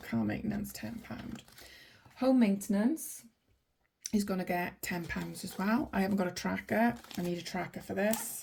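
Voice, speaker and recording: A woman with a Welsh accent speaks at a moderate pace and medium pitch, with vocal fry and a dark, mellow tone. Her pitch swings very widely. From Wales, Welsh valleys. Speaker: budgeting vlogger. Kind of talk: casual vlog tutorial. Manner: chatty, many fillers.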